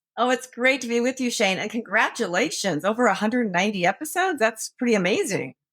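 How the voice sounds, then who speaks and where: A woman with an American accent talks at a very fast pace with hardly any pauses, her fairly high voice carrying lively intonation. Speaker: author and former prosecutor. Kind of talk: interview.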